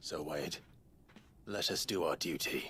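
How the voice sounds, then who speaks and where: Using a put-on character voice, a man speaks raspily at a fairly low pitch and a fairly slow pace. Background noise is clearly heard. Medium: video game. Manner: measured, serious.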